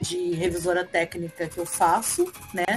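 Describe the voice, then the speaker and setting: With music in the background, a woman delivers her words at a moderate pace. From Rio de Janeiro, Brazil. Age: 40s. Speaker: writer and Portuguese teacher. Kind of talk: interview answer.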